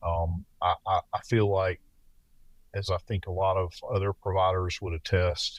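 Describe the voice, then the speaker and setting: With a Southern US accent, a man speaks at a very deep, low pitch in a somewhat breathy, monotone, flat delivery, on a very clean recording with a silent background and a dry, close sound with no echo. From US South. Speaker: paramedic and former police officer. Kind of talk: interview.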